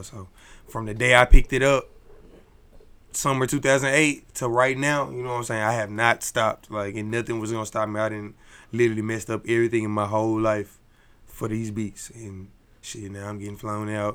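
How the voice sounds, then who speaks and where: A man with an American accent has a normal speaking voice, fairly low in pitch, with fairly even intonation and big swings in loudness. He talks at a fairly quick pace in a very clean recording with a silent background. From Dallas, Texas. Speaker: music producer. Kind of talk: casual interview.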